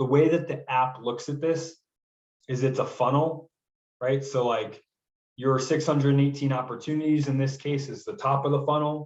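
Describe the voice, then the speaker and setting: A man talks in a fairly high, somewhat breathy voice. His intonation stays fairly even. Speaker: software trainer for real estate agents. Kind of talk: tutorial. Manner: fast; casual.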